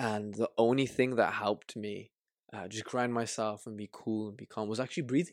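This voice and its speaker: In a very clean recording with a silent background and a dry, close sound with no echo, a man with a Birmingham accent speaks at medium pitch with fairly even intonation and big swings in loudness. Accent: Birmingham English (Brummie). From Birmingham, England. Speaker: life coach. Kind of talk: casual interview chat. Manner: halting, repeats words.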